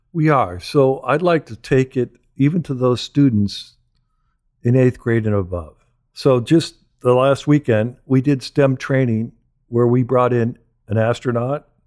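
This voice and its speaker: An unremarkable speaking voice from a man, medium in pitch with ordinary pitch variation, at a fairly slow pace on a very clean recording with a silent background. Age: 60s. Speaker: aerospace trade association director. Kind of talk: interview.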